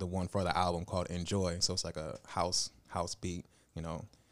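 A man at a very deep, low pitch with monotone, flat intonation, a moderate pace, and a very clean recording with a silent background. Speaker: musician and photographer.

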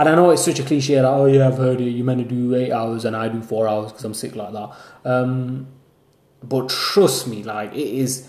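With audible room echo, a man in a Lancashire accent speaks at a medium pitch with fairly even intonation. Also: fairly quick pace. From northern England, Lancashire (Haslingden). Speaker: university student podcaster. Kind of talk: casual solo monologue.

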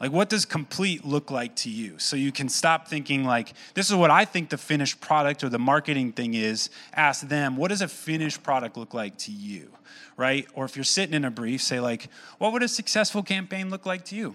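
Speaking at a fairly quick pace with an American accent, this voice has a bright, sharp tone and very wide pitch swings. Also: man, fairly high pitch for a man. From Michigan. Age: 30s. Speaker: coffee company founder. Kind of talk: keynote talk.

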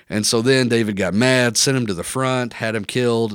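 Over a very clean recording with a silent background, a man speaks at a moderate pace and medium pitch in a normal speaking voice. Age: 30s. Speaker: church ministry leader, podcast host. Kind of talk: Bible teaching; casual chat. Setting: studio at church.

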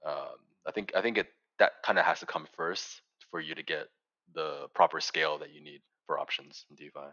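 A man talks at a fairly quick pace but with long, frequent pauses and big swings in loudness. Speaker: podcast co-host. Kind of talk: casual interview conversation.

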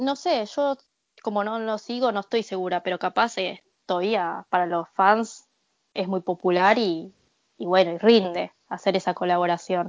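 In an Argentine accent, a woman speaks at a medium pitch with ordinary pitch variation. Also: moderate pace. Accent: native-sounding Argentine Spanish. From Argentina. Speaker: podcast guest. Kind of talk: casual chat.

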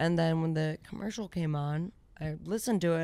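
Heard on a very clean recording with a silent background, a plain, everyday voice speaks at a moderate pace with ordinary pitch variation. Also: woman. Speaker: radio host and comedian. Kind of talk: casual chat.

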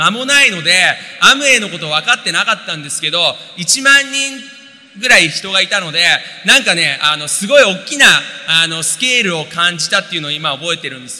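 A man speaks in a raised, projected voice at a fairly quick pace, with big swings in loudness, very wide pitch swings and noticeable background noise. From Japan, Tokyo. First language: Japanese (speaking Portuguese). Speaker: interpreter and businessman. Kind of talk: testimony on stage.

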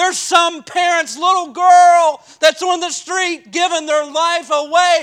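A man with an extremely high voice at a very slow pace, fairly even in intonation, with hardly any pauses. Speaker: Baptist preacher and pastor. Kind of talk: sermon. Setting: church.

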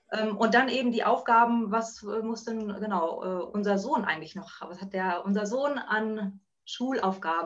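A woman talks with a fairly high pitch and ordinary pitch variation. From northern Germany (Buxtehude, near Hamburg). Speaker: working mother, office worker. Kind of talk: casual interview. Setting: video call. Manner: hesitant, many filler sounds.

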